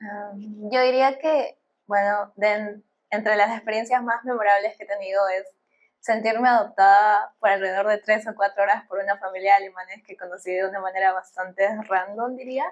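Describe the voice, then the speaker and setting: With a plain, everyday voice, a woman speaks at a moderate pace and medium pitch, her intonation fairly even. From Peru. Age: 20s. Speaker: bioengineering student. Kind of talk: podcast interview.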